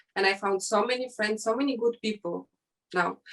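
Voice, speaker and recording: A woman with a non-native accent talks at a fairly quick pace. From Ukraine and Syria. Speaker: fashion model. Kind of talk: interview. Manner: halting.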